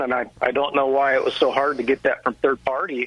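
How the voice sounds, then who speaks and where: A man with a medium-pitched voice talks fairly fast while noticeable background noise runs underneath. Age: 40s. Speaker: real estate investor. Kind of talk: interview.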